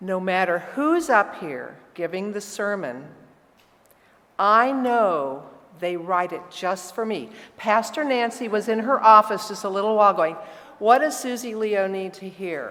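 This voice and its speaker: A woman with a medium-pitched voice talks at a fairly slow pace with lively intonation, big swings in loudness, and audible room echo. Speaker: church member giving offering invitation. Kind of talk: church announcement. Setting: church. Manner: casual.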